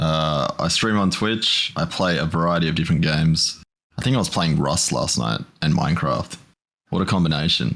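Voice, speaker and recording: With an Australian accent, a man speaks at a moderate pace in a very deep, low pitch. His intonation is lively and his loudness very even. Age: 30s. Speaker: streamer. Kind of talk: casual chat.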